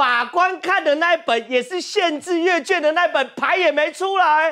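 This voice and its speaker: An extremely high-pitched man's voice at a moderate pace against a quiet background. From Taiwan. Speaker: TV talk show host. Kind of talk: TV political talk show discussion. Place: studio. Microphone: lapel.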